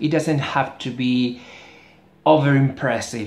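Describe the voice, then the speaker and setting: The speaker talks at a fairly slow pace in a Spanish accent. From Spain. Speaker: book reviewer. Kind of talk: casual video review. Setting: indoors near a street. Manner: halting, many fillers.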